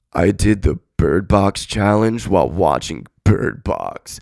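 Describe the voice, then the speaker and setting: In a put-on character voice, a man talks at a fairly low pitch and a fairly slow pace. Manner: mockingly perky.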